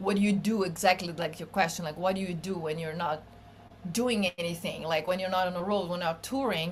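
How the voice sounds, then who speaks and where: A woman of medium pitch speaks with a Portuguese accent and ordinary pitch variation over noticeable background noise. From Brazil. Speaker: bassist and singer-songwriter. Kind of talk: podcast interview. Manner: casual, with many fillers.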